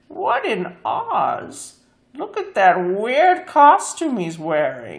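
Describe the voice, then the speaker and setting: High-pitched and female-sounding, a put-on character voice delivered very slowly. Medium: read story. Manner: saucy, superior, says meow.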